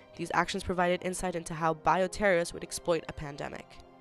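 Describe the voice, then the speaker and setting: Music plays in the background as a woman talks very fast. Her pitch is medium. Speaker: university student. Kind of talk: school presentation narration.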